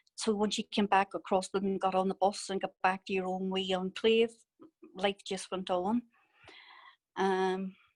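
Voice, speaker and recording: A woman speaks with a Northern Irish accent at medium pitch in a monotone, flat intonation. The sound is dry and close, with no echo. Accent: Derry Northern Irish. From Northern Ireland, Derry. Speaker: conflict victim witness. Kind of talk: testimony.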